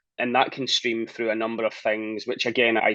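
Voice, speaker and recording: A man speaks in a Scottish accent. The sound is dry and close, with no echo. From Scotland. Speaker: talent and people strategist. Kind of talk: interview.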